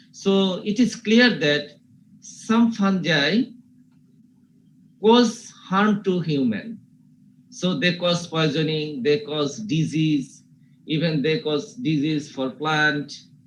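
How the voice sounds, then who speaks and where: With a fairly high pitch and lively intonation, a man talks at a very slow pace with long, frequent pauses amid audible room echo. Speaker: teacher. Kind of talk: lecture.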